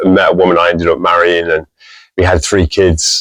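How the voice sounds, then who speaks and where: This man speaks at a very fast pace. He has an American accent. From England, Birmingham and Tamworth (West Midlands). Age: 50s. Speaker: music store and museum owner. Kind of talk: interview. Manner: hesitant, many fillers.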